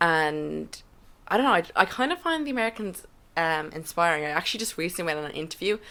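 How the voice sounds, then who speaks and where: A woman speaks in a fairly low pitch with an Irish accent. Her pace is very fast. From Ireland. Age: 20s. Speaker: podcast guest. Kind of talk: casual chat.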